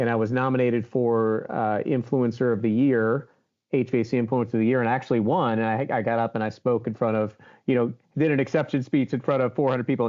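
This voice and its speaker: A man at medium pitch and a very fast pace, with fairly even intonation. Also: very even loudness. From Baltimore, Maryland. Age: 50s. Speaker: HVAC show host and influencer. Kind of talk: interview conversation.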